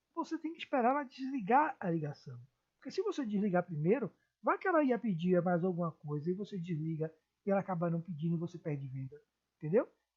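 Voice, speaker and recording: Somewhat breathy and very fast, a woman's medium-pitched voice swings very widely in pitch. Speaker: teacher. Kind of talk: lecture. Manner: expressive, moderate pace.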